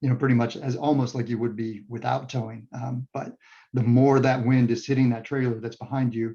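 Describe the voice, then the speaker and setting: This man has a medium pitch and a dark, mellow tone. He talks at a fairly quick pace with monotone, flat intonation. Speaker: EV owner and guest speaker on towing. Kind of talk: Q&A after a club meeting talk. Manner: fast; halting, many fillers and restarts.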